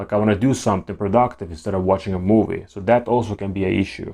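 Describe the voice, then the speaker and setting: A man with a non-native accent speaks very fast in a dark, mellow tone. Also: quiet background. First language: not English. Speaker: YouTuber talking about ADHD. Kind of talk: casual monologue to camera. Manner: halting, with repeated words and restarts.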